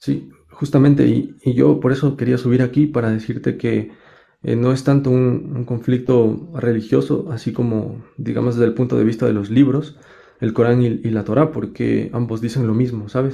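A man's medium-pitched voice with vocal fry, a dark, mellow tone and fairly even intonation. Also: moderate pace. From Latin America. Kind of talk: live debate. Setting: livestream. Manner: halting.

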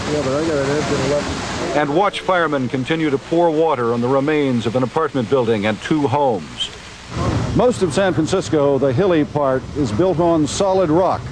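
Against noticeable background noise, a man with a fairly high pitch and a serious tone speaks at a moderate pace with ordinary pitch variation and very even loudness. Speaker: TV news reporter. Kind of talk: 1989 TV news report narration. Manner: steady, serious, reportorial.

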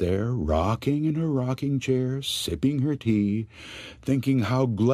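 Someone is doing plain reading aloud. Pitch moves with ordinary variation.

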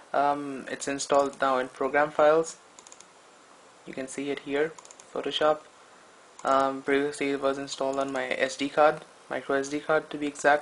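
A man speaks in a monotone, flat intonation. His moderate pace is marked by long, frequent pauses. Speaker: tech reviewer. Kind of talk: casual talk to camera. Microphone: phone near.

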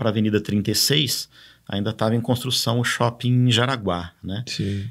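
Medium in pitch with ordinary variation, a man talks at a moderate pace against a quiet background. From São Paulo state, Brazil. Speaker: cycling official and former cyclist; podcast guest. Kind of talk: casual interview. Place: studio. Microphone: studio mic.

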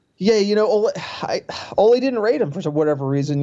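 With an American accent, a man speaks in a plain, everyday voice. His intonation is lively and his pace fairly quick. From US East Coast (New Jersey/New York). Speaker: football podcast host. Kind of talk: casual chat.

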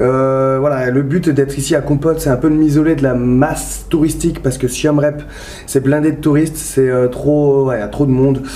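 Fairly high in pitch, a man talks at a moderate pace with monotone, flat intonation. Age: 30s. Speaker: vlogger and firefighter. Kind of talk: travel vlog. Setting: outdoors and hotel, handheld camera. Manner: casual, hesitant with fillers. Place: home room. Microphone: phone near.

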